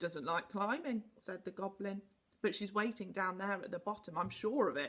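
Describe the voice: The passage is delivered as plain reading aloud.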